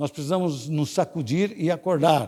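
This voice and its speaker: A man talks fairly slowly on a very clean recording where the background is silent. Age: 70s. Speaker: deacon preaching. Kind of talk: sermon.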